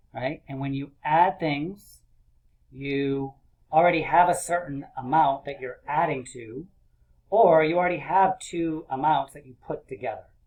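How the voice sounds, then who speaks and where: In a plain, everyday voice, a man speaks fairly slowly at a fairly high pitch, with ordinary pitch variation and big swings in loudness. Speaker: elementary school teacher. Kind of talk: video lesson for young children.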